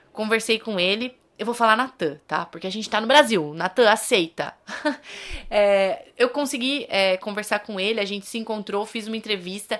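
A woman's fairly high voice, an unremarkable speaking voice with ordinary pitch variation, at a moderate pace in a very clean recording with a silent background. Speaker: podcast host. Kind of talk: casual monologue.

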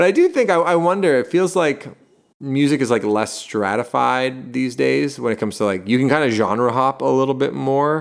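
At a moderate tempo, a normal speaking voice rises and falls in a lively way, captured very cleanly against complete silence. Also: man. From Canada, Toronto. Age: 30s. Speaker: lead singer of a rock band. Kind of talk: casual chat.

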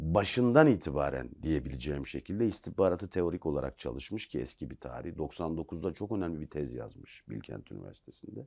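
A man's very deep, low, dark and mellow voice with vocal fry, lively intonation, big swings in loudness and a moderate pace, on a very clean recording with a silent background. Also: hardly any pauses. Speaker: investigative journalist and author. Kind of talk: interview.

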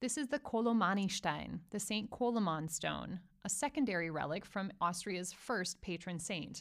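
With vocal fry and lively intonation, a woman speaks at a moderate pace and a medium pitch. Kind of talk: scripted audio tour narration, walking-tour guide describing a cathedral. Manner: measured, formal, authoritative, fact-dense, with a teacherly tone; direct, second-person guiding ('you'll see'), warm and welcoming.

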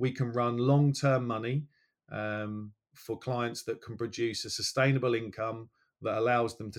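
A medium-pitched male voice, monotone and flat, on a very clean recording with a silent background. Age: 40s. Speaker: financial planner. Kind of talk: interview. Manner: halting, many fillers.

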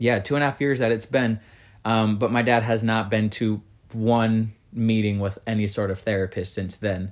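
Over a silent background in a very clean recording, a man speaks at a medium pitch and moderate pace with fairly even intonation. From US, moved around (Mississippi, Texas, Colorado). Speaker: podcast guest. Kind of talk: casual interview. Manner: hesitant, many fillers.

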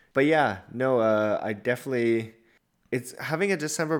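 A normal speaking voice from a man, medium in pitch, at a moderate pace. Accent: Canadian. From Canada. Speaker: podcast co-host. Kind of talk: casual chat. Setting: video call, separate mics.

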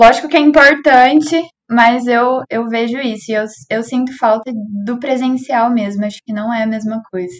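The intonation stays fairly even as the words come at a moderate pace. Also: woman, high pitch for a woman. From Cambé, Paraná, Brazil. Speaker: reporter, journalism student. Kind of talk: casual discussion.

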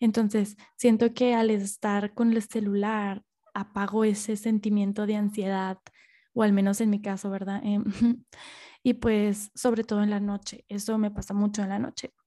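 On a very clean recording with a silent background, a woman speaks at a medium pitch in a monotone, flat way. Her voice is somewhat breathy, with a dark, mellow tone. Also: moderate pace. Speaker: podcast host. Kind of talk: casual monologue. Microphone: new microphone, first recording with it.

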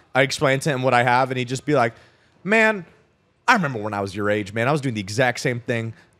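Speaking at a very fast pace with an American accent, a man keeps a medium pitch and ordinary pitch variation. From Arizona (Scottsdale), US. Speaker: freelance copywriter and coach. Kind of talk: casual chat. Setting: cigar lounge.

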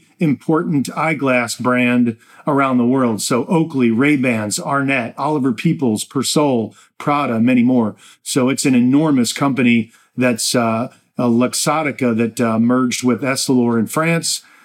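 A man with an American accent and a plain, everyday voice, at a medium pitch and a moderate pace, with ordinary pitch variation and very even loudness. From New Jersey. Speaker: podcast host and portfolio manager. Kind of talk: solo investment commentary.

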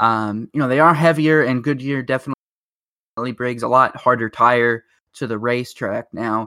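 A man talks at a moderate pace in a normal speaking voice, medium in pitch with fairly even intonation, in a dry, close sound with no echo. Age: 20s. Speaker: motorsport podcast host. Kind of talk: casual chat. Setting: remote recording over internet.

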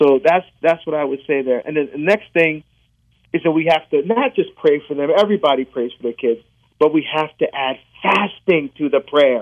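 The speaker has a New Jersey accent. The pace is moderate, with ordinary pitch variation. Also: man, fairly high pitch for a man. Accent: New Jersey American. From New Jersey, born in Barbados. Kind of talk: interview.

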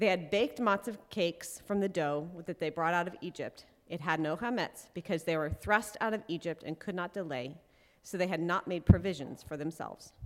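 This woman has an unremarkable speaking voice at a fairly low pitch. She talks at a fairly quick pace with ordinary pitch variation. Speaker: congregation scripture reader. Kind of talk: scripture reading.

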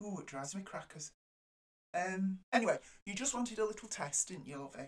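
In a northern English accent, the speech moves at a moderate pace with lively intonation. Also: woman. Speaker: neighbour of the host. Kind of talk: casual chat. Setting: video call. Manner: halting.

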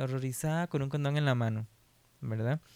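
In a very clean recording with a silent background and a dry, close sound with no echo, a man speaks in a normal speaking voice at medium pitch with fairly even intonation. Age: 20s. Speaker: sociologist working for an HIV-focused NGO. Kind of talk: casual podcast interview.

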